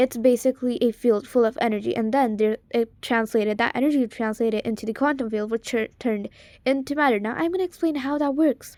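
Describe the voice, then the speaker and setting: A woman talks very fast at a high pitch, with ordinary pitch variation and hardly any pauses. The recording is very clean and dry, close with no echo and a silent background. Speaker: video creator. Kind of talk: unscripted explainer monologue. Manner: halting, with pauses and stumbles.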